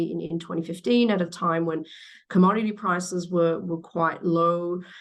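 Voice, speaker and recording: In an Australian accent, a woman speaks at a moderate pace with a fairly low pitch. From Western Australia, Perth. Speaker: battery industry executive. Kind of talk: interview. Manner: halting, many fillers and repeats.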